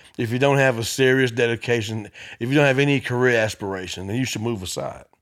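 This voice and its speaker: A man with a Memphis accent talks at a very fast pace and medium pitch in a very clean recording with a silent background. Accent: Southern US (Memphis). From US South, Memphis, Tennessee. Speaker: comedian. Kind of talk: casual chat.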